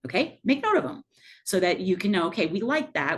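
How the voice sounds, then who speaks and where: A woman at a fairly quick pace, her pitch swinging very widely. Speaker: math professor leading faculty training. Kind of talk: workshop presentation. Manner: fast.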